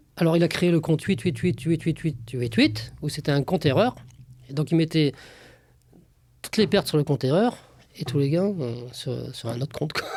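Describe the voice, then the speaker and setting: Fairly high-pitched and somewhat breathy, a man's voice with lively intonation, a moderate pace and long, frequent pauses, in a very clean recording with a silent background. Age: 60s. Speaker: former trader. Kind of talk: casual interview. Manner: hesitant, many fillers.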